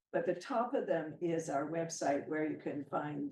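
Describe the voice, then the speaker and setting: In a Canadian accent, a woman speaks with a very deep, low pitch and ordinary pitch variation. Her pace is moderate, and the room echo is audible. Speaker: professor. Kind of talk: lecture. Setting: hybrid seminar with translators.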